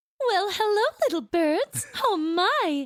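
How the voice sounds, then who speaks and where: A female-sounding voice puts on a character voice at an extremely high pitch. The pace is fairly slow. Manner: sweet, put-on.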